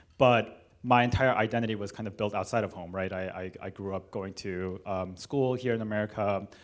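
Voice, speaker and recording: A man talks at a fairly low pitch with fairly even intonation and hardly any pauses. The recording is very clean, with a silent background. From Los Angeles, California (Korean American). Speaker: cellist and panel moderator. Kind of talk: moderated panel discussion. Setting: church hall with live audience. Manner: hesitant, many fillers.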